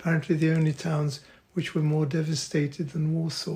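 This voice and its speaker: A man with a Polish accent talks at a moderate pace in a fairly high pitch. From Poland. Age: 80s+. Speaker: retired doctor and artist. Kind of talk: interview answer.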